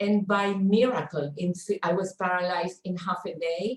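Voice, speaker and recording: A woman speaks in a somewhat breathy voice. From Chile. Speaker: stress coach. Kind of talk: online workshop talk. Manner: halting.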